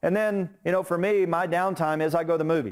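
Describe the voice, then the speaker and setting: The recording is very clean, with a silent background. A man speaks at a very fast pace with ordinary pitch variation. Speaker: instructor. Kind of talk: lecture. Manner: conversational.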